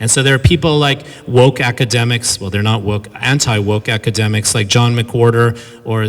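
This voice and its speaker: With a Californian accent, a man speaks at a fairly quick pace and medium pitch over noticeable background noise. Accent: Californian American. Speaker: professor giving a lecture. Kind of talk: lecture. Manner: fast; animated.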